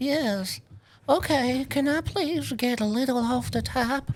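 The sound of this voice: A put-on character voice comes through, shaky in sound. It moves at a fairly slow pace. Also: female-sounding voice, high pitch for a woman.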